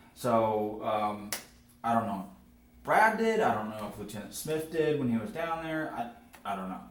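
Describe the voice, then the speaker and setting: A man with lively intonation at a moderate pace, amid audible room echo and noticeable background noise. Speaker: firefighter. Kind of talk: police interview. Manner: loud.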